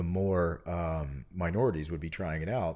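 On a very clean recording with a silent background, the speech moves at a moderate pace. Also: man. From Puerto Rico. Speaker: former Navy SEAL. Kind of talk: casual chat.

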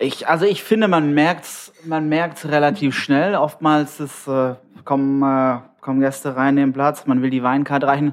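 A man with a fairly high pitch talks at a moderate pace, keeping his intonation fairly even. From Tübingen, Swabia. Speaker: sommelier. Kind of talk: casual chat. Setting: hotel show kitchen.

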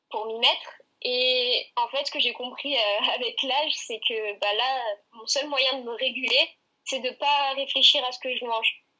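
Intonation is monotone and flat. The pace is fairly slow. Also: woman, high pitch for a woman, big swings in loudness. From southern France, Aix-en-Provence. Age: 20s. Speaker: gymnast and student. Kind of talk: interview.

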